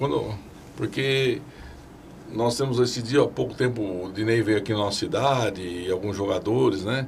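Audible room echo surrounds a man whose intonation is lively. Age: 60s. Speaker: municipal sports secretary. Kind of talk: interview.

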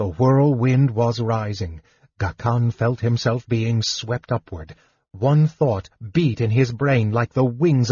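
Quiet background behind an unforced reading voice

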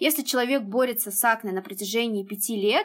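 A woman talks at a fairly quick pace in a plain, everyday voice, her pitch fairly high with ordinary variation. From Uzbekistan. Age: 20s. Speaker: skincare blogger. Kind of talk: casual chat.

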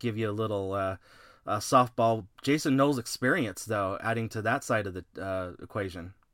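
A man speaks at a moderate pace in an unremarkable speaking voice, on a very clean recording with a silent background. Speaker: wrestling podcast host. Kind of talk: casual podcast preview chat.

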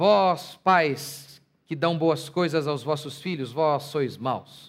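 This man talks fairly high in pitch, with ordinary pitch variation, on a very clean recording against a silent background. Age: 30s. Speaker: pastor. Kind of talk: sermon.

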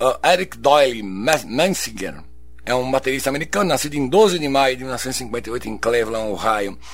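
A man talks with lively intonation while noticeable background noise fills the recording. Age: 60s. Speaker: radio host. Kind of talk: radio show presenting. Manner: halting.

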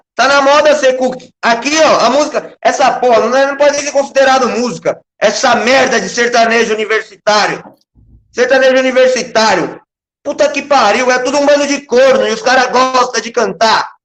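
At a moderate pace, a man speaks with an extremely high pitch and fairly even intonation. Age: 20s. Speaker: online commentator. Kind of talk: casual chat. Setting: live stream.

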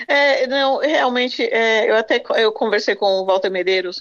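Her pace is fairly slow. The woman's pitch shifts in an ordinary way. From Brazil. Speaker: radio commentator. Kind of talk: casual chat. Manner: halting.

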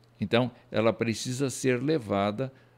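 A man talks very slowly in a very clean recording with a silent background. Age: old. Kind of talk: lecture. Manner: halting.

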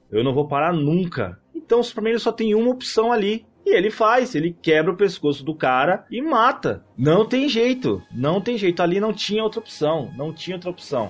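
A man with a Brazilian accent talks at a moderate pace with hardly any pauses, his high pitch making very wide swings. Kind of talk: casual chat.

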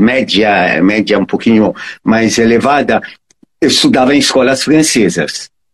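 A man speaks with a strong non-native accent. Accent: foreign accent in Portuguese, strong. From Egypt (Cairo). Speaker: electrical engineer and transport consultant. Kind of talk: interview. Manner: halting, repeats words.

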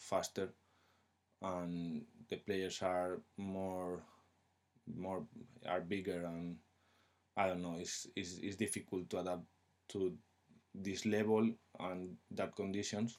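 Very slow and very deep, a man's low voice carries a Spanish accent and fairly even intonation. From Spain. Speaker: footballer. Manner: halting.

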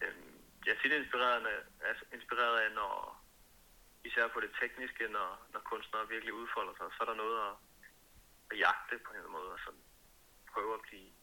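A man at a fairly quick pace. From Denmark, Copenhagen. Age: 20s. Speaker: singer-songwriter. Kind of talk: interview.

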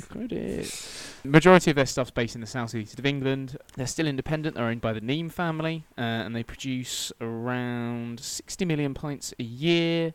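A man with an unremarkable speaking voice, medium pitch and ordinary pitch variation talks at a moderate pace. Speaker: podcast host. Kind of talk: casual chat.

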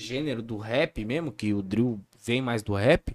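A man talks at a medium pitch. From Brazil, São Paulo state (Campo Limpo Paulista). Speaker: grime MC. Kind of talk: casual chat.

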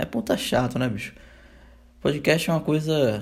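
A man speaks with a Brazilian accent. His pace is moderate. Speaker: podcaster. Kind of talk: solo casual monologue.

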